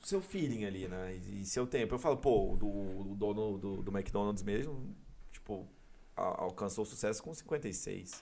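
Very slow, fairly low male speech with ordinary pitch variation. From Brazil, Goiânia (Goiás). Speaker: electronic music DJ. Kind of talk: casual interview chat.

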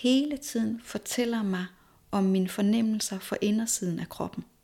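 Somewhat breathy delivery at a fairly slow pace, fairly even intonation, and a very clean recording over a silent background. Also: woman. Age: 40s. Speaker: movement teacher, former nurse. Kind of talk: interview conversation.

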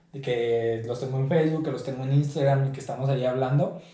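Ordinary pitch variation in a space with audible room echo. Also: man. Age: 20s. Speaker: football freestyler. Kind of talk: casual interview.

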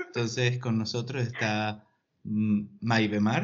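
Here a man speaks with ordinary pitch variation. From Argentina. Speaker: podcast host. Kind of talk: casual interview.

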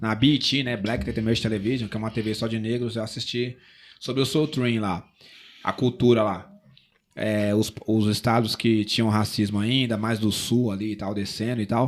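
A man's normal speaking voice at a medium pitch and a moderate pace. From São Paulo city, Brazil. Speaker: rapper and singer-songwriter. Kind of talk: casual interview chat.

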